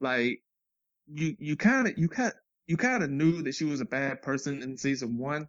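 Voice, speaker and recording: A man with an ordinary speaking voice talks at a moderate pace and a fairly high pitch, with lively intonation and a dry, close sound with no echo. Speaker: podcast guest co-host. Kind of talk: casual chat.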